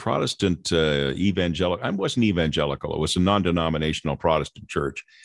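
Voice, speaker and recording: With an American accent and a very deep, low pitch, a man talks at a fairly quick pace over a quiet background. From Southern California. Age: 70s. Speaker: radio host. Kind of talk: casual interview, personal storytelling.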